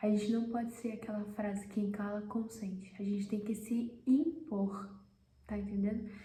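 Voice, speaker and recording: A quiet woman's voice, fairly high in pitch, moves at a moderate pace. Room echo is audible, and background noise is noticeable. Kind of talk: devotional talk. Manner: speaking quietly.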